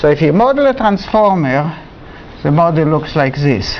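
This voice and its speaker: A man at a fairly quick pace with very wide pitch swings and noticeable background noise. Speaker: university lecturer. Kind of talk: lecture. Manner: halting.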